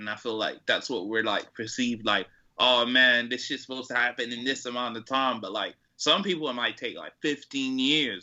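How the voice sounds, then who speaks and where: A man's medium-pitched, normal speaking voice at a moderate pace. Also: ordinary pitch variation. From Atlanta, US South. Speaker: rapper and producer. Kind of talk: casual interview chat.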